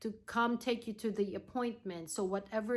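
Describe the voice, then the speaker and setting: Her pitch fairly high, a woman talks with a non-native accent. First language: not English. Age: 40s. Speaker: nurse and cancer patient. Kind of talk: vlog tutorial. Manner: halting, many fillers.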